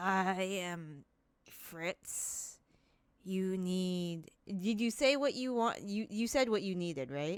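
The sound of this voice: In a put-on character voice, a female-sounding speaker talks very slowly with a gravelly, middle-pitched sound on a very clean recording with a silent background.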